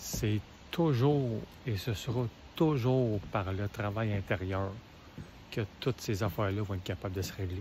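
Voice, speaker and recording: With a Quebec accent, a man talks fairly slowly at a fairly low pitch, somewhat breathy, with ordinary pitch variation and long, frequent pauses. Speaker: motivational video creator. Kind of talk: casual motivational talk.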